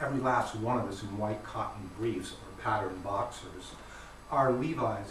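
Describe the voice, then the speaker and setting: Noticeable background noise and audible room echo around a man's fairly low voice. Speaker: poet. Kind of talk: poetry reading. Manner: loud.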